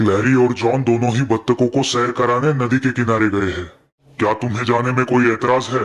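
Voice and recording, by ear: This man does a cartoonish character voice at a medium pitch, delivered in a monotone, flat intonation. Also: moderate pace.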